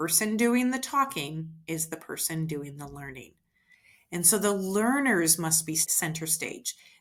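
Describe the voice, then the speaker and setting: Here a woman talks at a moderate pace in a fairly low pitch, with an American accent. The recording is very clean, with a silent background. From US Midwest. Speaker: education administrator and former teacher. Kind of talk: educational talk.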